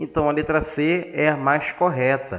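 This man's voice sits fairly high. Its pitch moves up and down in an ordinary way. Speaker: science teacher. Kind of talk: lecture.

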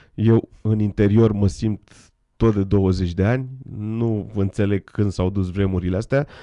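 A man speaks with a dark, mellow tone at a fairly low pitch and fairly even intonation. The sound is dry with no echo, and the background is quiet. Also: fairly slow pace. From Romania. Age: 40s. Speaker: guest. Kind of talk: interview with live interpreting. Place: studio. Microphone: studio mic.

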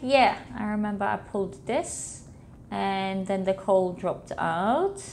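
A woman speaks at a fairly slow pace with a Polish accent. Light background noise sits behind her. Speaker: gamer. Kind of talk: casual let's play commentary. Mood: cheerful, playful. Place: home room.

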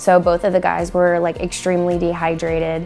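A woman speaks with faint music in the background. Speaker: assistant athletic trainer. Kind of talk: interview answer. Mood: warm, smiling. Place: studio.

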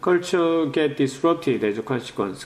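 A man talks with a fairly high pitch and lively intonation. Audible room echo surrounds his voice. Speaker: professor. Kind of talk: lecture. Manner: halting.

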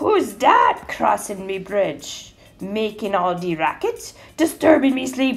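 A bellowing, put-on character voice at a fairly slow pace, with music in the background. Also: woman, fairly high pitch for a woman. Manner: roaring.

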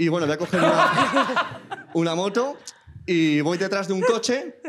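Through loud background noise, a man talks with a Spanish accent. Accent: Peninsular Spanish. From Spain. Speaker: audience member. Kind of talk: anecdote telling. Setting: stage with audience. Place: stage. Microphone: handheld.

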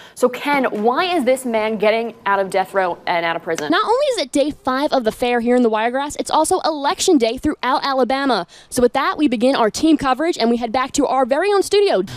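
Talking at a very fast pace with hardly any pauses, a woman uses a high voice with very wide pitch swings in a dry sound with no echo. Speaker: TV news anchor and reporter. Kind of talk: TV news anchoring and live reporting.

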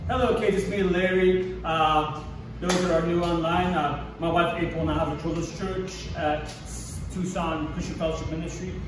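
Over noticeable background noise and audible room echo, the speaker keeps a moderate pace. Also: man. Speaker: children's church teacher. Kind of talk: children's sermon / object lesson. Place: classroom. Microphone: camera far.

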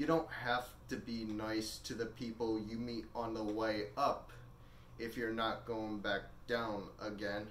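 A man talks at a fairly slow pace in a flat monotone, with audible room echo and light background noise. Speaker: actor performing a monologue. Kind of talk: dramatic monologue in character as a rich older man. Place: home room. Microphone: camera far.

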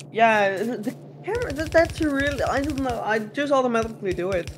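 Noticeable background noise sits behind the speaker. A man talks at a fairly quick pace with lively intonation. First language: not English. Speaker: video game player; game streamer. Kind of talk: casual chat while gaming on a live stream. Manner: casual, joking banter. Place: home room.

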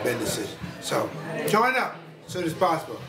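There is loud background noise behind this man's voice. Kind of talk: testimonial to camera.

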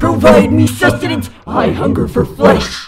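A raspy put-on character voice at a moderate pace. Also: man, fairly low pitch for a man. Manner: dramatic, demanding.

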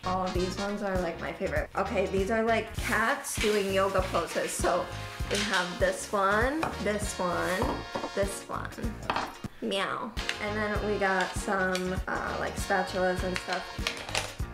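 Clear music plays behind a woman who speaks at a very slow pace with ordinary pitch variation. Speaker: vlogger. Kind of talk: casual vlog chat. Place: home room. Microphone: camera far.

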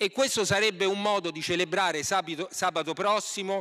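The background is quiet. A man speaks in a bright, sharp tone. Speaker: opposition member of parliament. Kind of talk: parliamentary reply, formal oratory. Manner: critical, indignant, formal. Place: hall. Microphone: podium.

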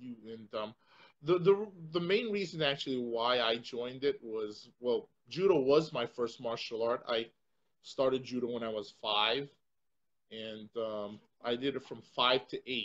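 A man with an American accent talks at a fairly slow pace in a medium pitch. His pitch varies in an ordinary way while his loudness swings widely. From Connecticut, US. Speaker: martial arts instructor and show host; martial arts instructor, show host. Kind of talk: casual panel chat. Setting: studio with one co-host, others on video chat. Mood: relaxed storytelling. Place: home room. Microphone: video call.

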